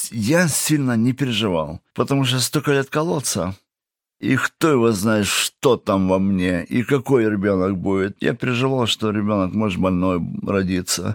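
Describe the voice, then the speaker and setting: An unremarkable speaking voice moves at a fairly slow pace with lively intonation. The sound is dry and close with no echo. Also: man. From Kazakhstan (Russian-German family). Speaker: prison and addiction ministry worker. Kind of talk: testimony. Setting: studio.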